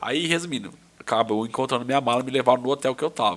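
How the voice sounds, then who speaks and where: There's ordinary pitch variation in this man's fairly high voice. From Brazil. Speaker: lawyer and businessman. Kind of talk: casual podcast interview. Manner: animated, informal storytelling.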